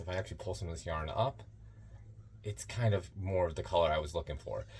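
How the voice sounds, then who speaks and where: A man with vocal fry speaks at a very fast pace, his intonation lively. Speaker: yarn dyer. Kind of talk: tutorial. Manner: loud; raises volume when teaching.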